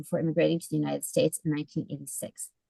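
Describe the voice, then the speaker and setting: A woman's voice with vocal fry, dry and close with no echo. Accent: Canadian. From Canada (Montreal). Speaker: event host and author. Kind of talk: speaker introduction.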